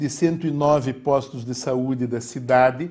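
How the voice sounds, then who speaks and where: A man speaks at a fairly slow pace in a dark, mellow tone. His voice is somewhat breathy, with ordinary pitch variation. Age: 60s. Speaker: mayoral candidate. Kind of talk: political debate. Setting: TV studio.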